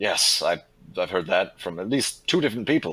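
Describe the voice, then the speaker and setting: A man's put-on character voice, raspy and medium-pitched, at a moderate pace with very wide pitch swings. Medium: actual play.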